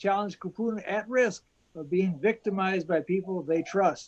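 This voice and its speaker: This man talks at a moderate pace in a high-pitched voice, with ordinary pitch variation. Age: 70s. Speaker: advocacy group board member asking questions. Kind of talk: panel question.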